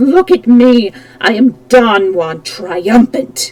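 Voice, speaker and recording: A put-on character voice, fairly high in pitch, moves at a very slow pace with very wide pitch swings. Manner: roaring, triumphant.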